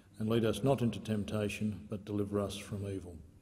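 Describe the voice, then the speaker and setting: With an Australian accent, a man talks at a fairly quick pace in a fairly low, somewhat breathy voice, with a dark, mellow tone and monotone, flat intonation. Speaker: presiding officer of the Senate. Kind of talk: parliamentary procedure and prayer. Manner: formal. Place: hall. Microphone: podium.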